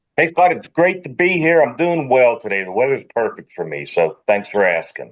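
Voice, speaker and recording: A man speaks at a moderate pace with a slight Pittsburgh accent and a fairly high pitch. His pitch swings very widely, and his loudness rises and falls sharply. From Pittsburgh, US. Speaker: industrial strategist. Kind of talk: podcast interview. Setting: video call.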